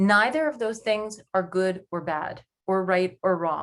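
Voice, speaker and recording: A woman with an American accent speaks at a fairly slow pace in a medium pitch with ordinary pitch variation. She has an unremarkable speaking voice. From New York. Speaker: panelist, working-parent coach. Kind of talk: webinar presentation.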